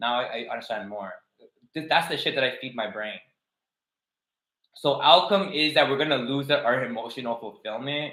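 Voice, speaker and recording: A man with a non-native accent, medium in pitch with ordinary pitch variation and long, frequent pauses. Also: moderate pace. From outside Canada, poorer country. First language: not English. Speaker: tarot reader. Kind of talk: livestream tarot reading. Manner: casual, halting with false starts.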